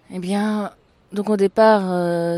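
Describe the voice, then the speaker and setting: A woman at a very slow pace with fairly even intonation, on a very clean recording with a silent background. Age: 40s. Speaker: artist and photographer. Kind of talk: interview testimony. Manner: halting with frequent hesitations.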